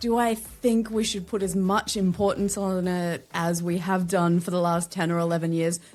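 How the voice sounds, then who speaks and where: A woman with an Australian accent, with hardly any pauses. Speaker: LinkedIn strategist and podcaster. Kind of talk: podcast interview.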